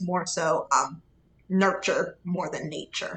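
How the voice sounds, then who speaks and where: The tone is bright and sharp. The speaker has an American accent. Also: woman. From Pittsburgh, Pennsylvania. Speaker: pediatric dentist. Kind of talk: interview.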